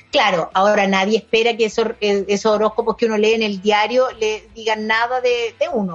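With a Chilean accent, a woman talks at a moderate pace and a fairly high pitch, with fairly even intonation and very even loudness. She leaves hardly any pauses as music plays in the background. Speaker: podcast host and actress. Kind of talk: casual chat.

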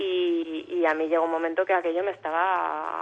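With monotone, flat intonation, a woman speaks at a fairly low pitch. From Alicante, Spain. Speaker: actress and singer. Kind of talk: interview.

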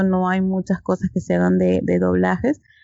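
A woman at a medium pitch speaks in a normal speaking voice. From Peru. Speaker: podcast co-host. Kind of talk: casual chat.

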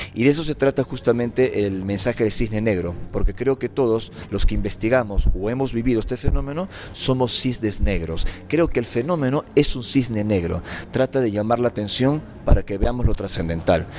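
A man talks at a moderate pace, his pitch varying in an ordinary way, while noticeable noise sits in the background. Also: medium pitch for a man. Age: 40s. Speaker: author and lecturer on alien contact. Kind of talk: interview.

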